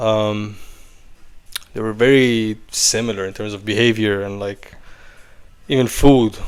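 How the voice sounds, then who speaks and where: The speech is monotone and flat, at a fairly slow pace with long, frequent pauses. Loudness swings widely. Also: man, fairly low pitch for a man. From Iran, raised in Athens, Greece. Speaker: investor. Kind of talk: casual chat.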